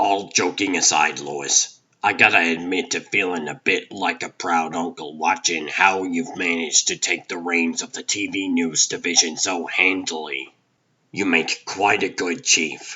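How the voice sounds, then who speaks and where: Putting on a character voice, a man speaks at a moderate pace in a raspy, very deep, low pitch with fairly even intonation. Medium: fan dub. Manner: warm, wry.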